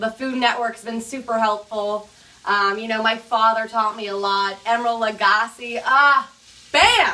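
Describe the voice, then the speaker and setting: A woman with an American accent talks at a fairly slow pace in a fairly high pitch, over noticeable background noise. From California. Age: 20s. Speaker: home cook. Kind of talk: cooking tutorial. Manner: upbeat, energetic.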